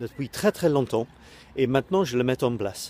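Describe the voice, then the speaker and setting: Man with a strong English accent, medium pitch and ordinary pitch variation, in a dry, close sound with no echo. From Britain. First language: English (speaking French). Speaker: online coach and web creator. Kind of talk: casual video talk to camera. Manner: halting, many hesitations.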